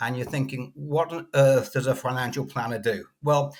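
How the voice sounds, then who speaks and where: A man talks in a British accent. His voice is somewhat breathy. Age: 60s. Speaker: financial coach. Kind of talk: podcast interview.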